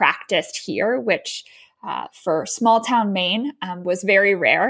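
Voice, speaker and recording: A woman with an American accent speaks in a normal speaking voice at a medium pitch. Her pace is fairly slow. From US, Baltimore, Maryland. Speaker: yoga teacher and educator. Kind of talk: interview.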